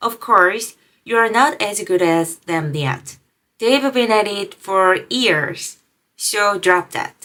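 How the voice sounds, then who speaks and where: With a non-native accent, the speaker uses lively intonation and a bright, sharp tone at a very slow pace. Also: woman, medium pitch for a woman. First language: not English. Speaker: video creator, language learner. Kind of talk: motivational vlog talk. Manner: halting, self-correcting.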